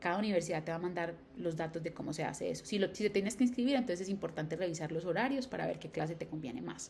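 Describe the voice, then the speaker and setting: Music plays in the background as a woman speaks with ordinary pitch variation. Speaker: educational YouTuber. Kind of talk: tutorial. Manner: fast.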